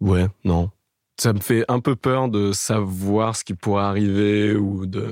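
Very slow, fairly even speech from a man with a fairly low pitch, dry and close with no echo, on a very clean recording with a silent background. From Paris area (Boulogne-Billancourt). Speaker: dating podcast guest, video maker in music. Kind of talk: casual interview.

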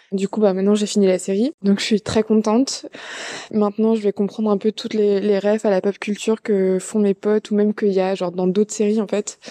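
The voice keeps a monotone, flat intonation in a dry, close sound with no echo, while noticeable background noise runs underneath. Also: woman, medium pitch for a woman, fairly quick pace. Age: 20s. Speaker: listener testimonial. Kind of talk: testimony. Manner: halting.

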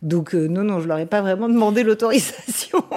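Her tone dark and mellow, a woman talks at a fairly quick pace with lively intonation. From Paris region, France (Vincennes). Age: 40s. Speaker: radio journalist and interviewer. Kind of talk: interview conversation. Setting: at home.

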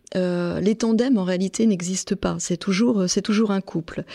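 A woman with fairly even intonation is captured in a very clean recording against a silent background. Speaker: crime writer and journalist, serial killer expert. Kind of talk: expert interview, explanatory discussion. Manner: thoughtful, explanatory, hesitant with repetitions.

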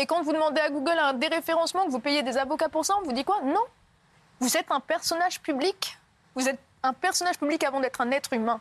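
At a very fast pace, a woman speaks at a high pitch with ordinary pitch variation and very even loudness, the sound dry and close with no echo. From southern France, near Montpellier. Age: 30s. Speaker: former reality TV contestant and author. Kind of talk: TV interview testimony. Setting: TV studio, live broadcast.

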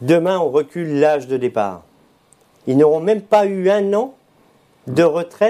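Fairly slow, lively intonation from a man with a high pitch and a dark, mellow tone, broken by long, frequent pauses. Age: 50s. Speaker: trade union leader. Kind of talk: live interview.

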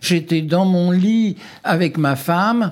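On a very clean recording, a man's voice stands against a silent background. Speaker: witness, former office clerk. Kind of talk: personal testimony.

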